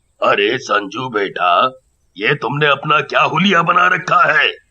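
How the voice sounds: A man performs a cartoonish character voice in a fairly high pitch. He delivers it at a fairly slow pace.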